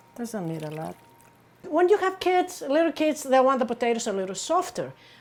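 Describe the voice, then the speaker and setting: A woman speaks with a Greek accent at a high pitch. Her pace is fairly quick. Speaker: home cook. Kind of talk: cooking tutorial to camera.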